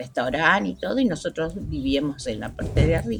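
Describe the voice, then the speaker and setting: A woman speaks with music in the background. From Argentina, Santa Fe province (Santo Tomé). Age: 80s+. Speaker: community elder. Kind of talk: life story interview.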